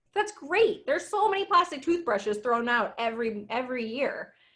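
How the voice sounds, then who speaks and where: A woman speaks with a high pitch. Her voice swings very widely in pitch. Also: very clean recording, silent background. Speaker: small business owner, guest speaker. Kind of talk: presentation with Q&A. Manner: fast.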